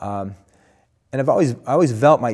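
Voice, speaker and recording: Against a quiet background, a man with an American accent speaks with lively intonation. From Buffalo, New York area; New York. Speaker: Orthodox priest, former police officer; Orthodox priest. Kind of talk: interview. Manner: hesitant, many fillers. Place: studio. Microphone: lapel.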